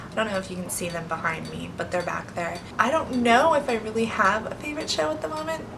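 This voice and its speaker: A woman talking at a very fast pace with hardly any pauses and very wide pitch swings, amid audible room echo and noticeable background noise. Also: medium pitch for a woman. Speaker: beauty vlogger. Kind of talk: casual vlog talk to camera.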